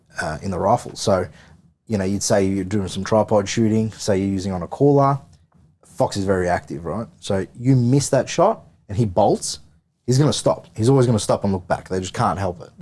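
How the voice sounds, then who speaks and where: A man with an Australian accent, fairly low-pitched, dark and mellow in tone, at a fairly quick pace with ordinary pitch variation. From Victoria, Australia. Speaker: firearms and thermal optics salesman. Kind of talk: podcast interview. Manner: halting, many repeated words.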